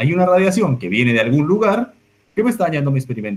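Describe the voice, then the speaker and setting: With a Colombian accent, a man speaks at a very fast pace. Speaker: astrophysics researcher. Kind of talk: public science talk. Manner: hesitant, repeats words.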